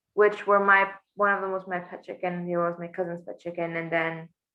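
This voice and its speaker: A woman speaks in a monotone with flat intonation and a fairly low pitch. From Bolivia. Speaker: small-business owner and immigrant. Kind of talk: interview. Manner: hesitant, many fillers.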